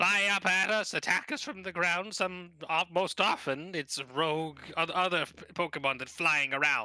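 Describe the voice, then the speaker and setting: A put-on character voice from a man, high in pitch with ordinary pitch variation, at a moderate pace with hardly any pauses. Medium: actual play. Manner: deliberate, dignified, hums thoughtfully.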